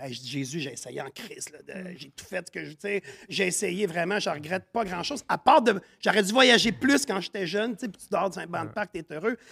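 Big swings in loudness and very wide pitch swings, animated in tone, in a Quebec accent. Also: man, high pitch for a man, moderate pace, dry, close sound with no echo. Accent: Québécois French. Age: 40s. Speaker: chef and business owner. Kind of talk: casual chat.

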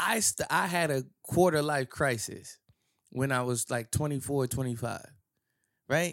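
At a fairly slow pace, a man with an American accent and an ordinary speaking voice talks in a fairly high pitch with ordinary pitch variation, in a very clean recording with a silent background and a dry, close sound with no echo. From US Northeast, near New York. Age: 30s. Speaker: podcast co-host. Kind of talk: casual chat.

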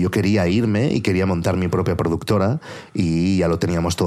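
Against noticeable background noise, a man with a very deep, low voice talks with fairly even intonation. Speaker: podcaster and producer. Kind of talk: casual chat.

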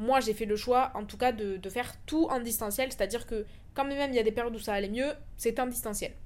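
Her delivery is fairly quick and her intonation fairly even. This woman has an ordinary speaking voice with a fairly high pitch. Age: 20s. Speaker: podcast host. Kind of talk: personal monologue. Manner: casual with fillers.

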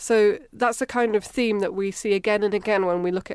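A woman in a Scottish accent, medium in pitch, with fairly even intonation. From Scotland. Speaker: physical oceanographer. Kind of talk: casual interview.

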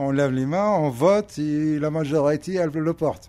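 On a very clean recording with a silent background, a man with a fairly high pitch and a dark, mellow tone speaks at a fairly slow pace. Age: 50s. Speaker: delivery driver, formerly homeless, social housing resident. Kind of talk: interview. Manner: halting.

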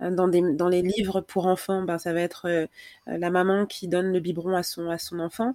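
A woman speaks at a moderate pace, her fairly low voice dark and mellow. Her intonation is monotone and flat, and the sound is dry and close with no echo. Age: 30s. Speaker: Instagram creator on breastfeeding. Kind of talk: casual chat. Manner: halting.

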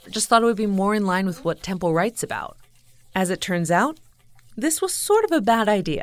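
Lively intonation and a fairly quick pace mark an unremarkable speaking voice. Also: woman, medium pitch for a woman. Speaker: podcast producer. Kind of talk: scripted narration.

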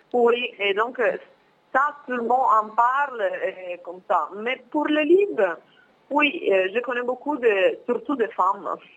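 A woman speaks at a high pitch with very wide pitch swings. She talks very slowly, with long, frequent pauses. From northern Italy, Milan. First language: Italian (speaking French). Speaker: former exchange student. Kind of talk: interview. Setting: phone call.

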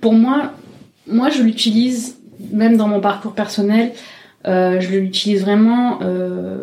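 Somewhat breathy and dark, mellow in tone, a woman talks at a fairly slow pace with fairly even intonation. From Marseille, southern France. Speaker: drag king performer. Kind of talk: interview testimony. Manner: halting.

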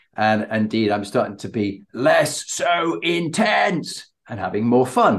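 A man with a British accent and lively intonation. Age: 60s. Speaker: podcast host and leadership coach. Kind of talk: interview.

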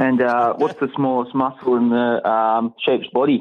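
A man speaks at a moderate pace with a strong Australian accent, his medium-pitched voice held in a flat monotone. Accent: broad Australian. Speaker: listener caller telling jokes. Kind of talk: joke telling voice message.

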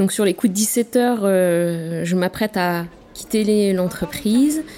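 A woman is speaking. The variation in her pitch is ordinary. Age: 40s. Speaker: diversity officer. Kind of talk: testimony. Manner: halting.

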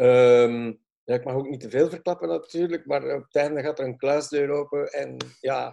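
With a Flemish accent, a man speaks fairly slowly in a fairly high pitch, with ordinary pitch variation and a dark, mellow tone. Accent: Flemish Dutch. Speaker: film and tv director. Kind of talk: interview. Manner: halting.

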